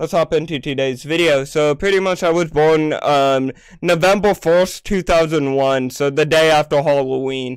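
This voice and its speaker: A man speaks in a normal speaking voice, fairly high in pitch, at a moderate pace. His intonation is fairly even and his loudness very even on a very clean recording with a silent background. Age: 20s. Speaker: gaming youtuber. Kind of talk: casual vlog monologue. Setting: home recording room with green screen.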